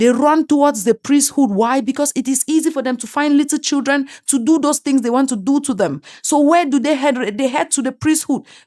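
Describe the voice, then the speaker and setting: With an African accent, a woman talks in a high, animated voice with lively intonation, recorded dry and close with no echo. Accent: African accent, self-described. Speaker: commentary YouTuber. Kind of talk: opinion monologue. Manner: animated, emphatic.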